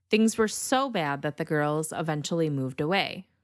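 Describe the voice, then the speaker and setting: A woman's fairly low voice with a Michigan accent, lively intonation and a moderate pace, on a very clean recording with a silent background. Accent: northern US (Michigan). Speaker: true crime podcast host. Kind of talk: podcast narration. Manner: casual, conversational.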